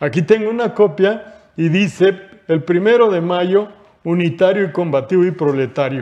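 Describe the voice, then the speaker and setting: Quiet surrounds the voice. Its pace is moderate. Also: man, high pitch for a man, ordinary pitch variation. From Mexico. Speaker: retired worker and union leader; interview guest. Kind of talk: panel discussion; reading aloud. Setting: studio. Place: studio. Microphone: lapel.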